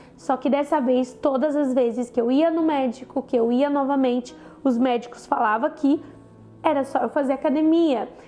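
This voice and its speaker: Music plays behind a woman with a high-pitched voice. She speaks at a moderate pace. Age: 20s. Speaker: cancer survivor. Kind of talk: personal testimony talk to camera.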